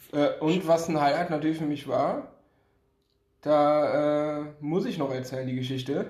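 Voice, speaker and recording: Pausing long and often, a man talks at a fairly slow pace with a fairly high pitch and fairly even intonation, and the room echo is audible. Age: 20s. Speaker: podcast guest, basketball fan. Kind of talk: casual chat.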